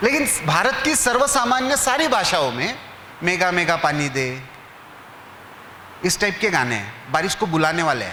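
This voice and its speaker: With a Marathi accent, a man speaks at a high pitch with very wide pitch swings and long, frequent pauses, amid noticeable background noise and audible room echo. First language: Marathi (speaking Hindi). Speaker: newspaper editor, speaker. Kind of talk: lecture. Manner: conversational, asks audience questions.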